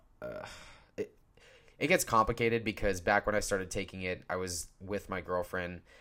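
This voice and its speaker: Recorded very cleanly against a silent background, a man speaks at a moderate pace with fairly even intonation. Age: 20s. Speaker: podcaster. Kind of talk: casual solo podcast monologue. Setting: podcast recording, audio only. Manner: informal, halting with fillers; casual, candid.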